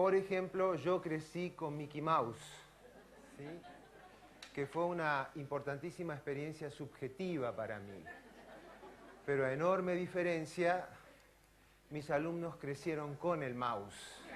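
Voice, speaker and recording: Speech with an Argentine accent comes at a fairly slow pace with long, frequent pauses. Pitch varies in an ordinary way amid audible room echo. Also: man, fairly high pitch for a man. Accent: Argentine Spanish (Rioplatense). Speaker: neurosurgeon and physiology professor. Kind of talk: lecture.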